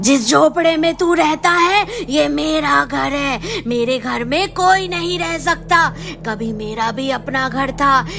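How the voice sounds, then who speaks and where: A female-sounding cartoonish character voice speaks high in pitch at a fairly slow pace. Clear background noise can be heard. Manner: slow, eerie.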